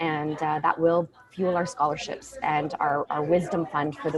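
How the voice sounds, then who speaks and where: Noticeable background noise sits behind a woman speaking at a very deep, low pitch. Her pace is moderate and her intonation fairly even. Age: 40s. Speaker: nonprofit founder. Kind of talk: video call interview. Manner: halting.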